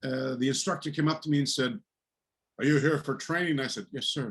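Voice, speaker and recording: A man with a Canadian accent speaks at a fairly high pitch, somewhat breathy, with ordinary pitch variation. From eastern Canada, New Brunswick. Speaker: martial arts teacher. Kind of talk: interview storytelling.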